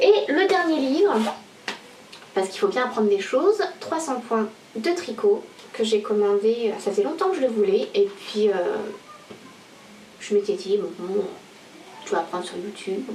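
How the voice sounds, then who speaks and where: A woman with a fairly high pitch speaks at a moderate pace with very wide pitch swings. She takes long, frequent pauses, and there is noticeable background noise. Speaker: knitting podcaster. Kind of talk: casual video podcast monologue. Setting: home video recording to camera. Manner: hesitant, many fillers.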